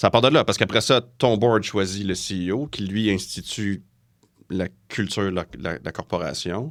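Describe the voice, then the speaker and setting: A man with a fairly low pitch talks at a moderate pace, his pitch varying in an ordinary way, on a very clean recording with a silent background. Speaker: forensic accountant and lecturer. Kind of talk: podcast interview.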